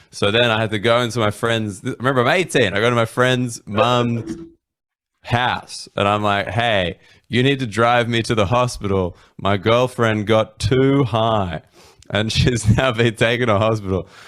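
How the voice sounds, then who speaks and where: Speaking in an Australian accent, a man keeps a medium pitch, fairly even intonation, very even loudness and a moderate pace. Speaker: comedian. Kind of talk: storytelling. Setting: live stream.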